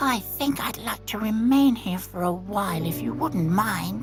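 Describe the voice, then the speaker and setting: A put-on character voice speaks over clear background music. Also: female-sounding voice, medium pitch for a woman, moderate pace. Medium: game stream. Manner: soft-spoken.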